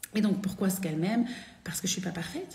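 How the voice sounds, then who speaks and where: Amid noticeable background noise and audible room echo, a woman speaks very fast at a medium pitch with ordinary pitch variation. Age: 40s. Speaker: women's spiritual coach. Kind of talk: live stream talk. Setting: live video stream. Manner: animated.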